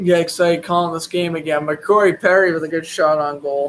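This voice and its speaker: A man with a Boston accent, fairly high-pitched, at a moderate pace with fairly even intonation. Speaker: sports commentator. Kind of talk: live play-by-play commentary with casual chat. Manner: casual, chatty.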